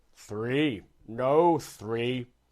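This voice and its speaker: Speaking at a medium pitch, a man puts on a character voice. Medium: read story.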